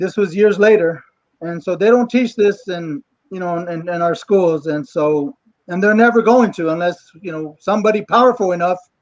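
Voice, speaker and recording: Speaking at a fairly slow pace, a high-pitched man shows ordinary pitch variation and big swings in loudness. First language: English (speaking Spanish). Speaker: actor and writer. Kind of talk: panel discussion. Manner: halting.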